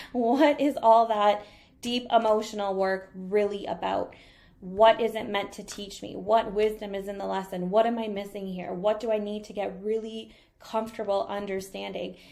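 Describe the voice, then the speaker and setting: Using an unremarkable speaking voice, a woman talks at a moderate pace in a medium pitch with fairly even intonation and big swings in loudness. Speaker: energy reader and spiritual coach. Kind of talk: live-streamed coaching talk. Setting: live stream on laptop.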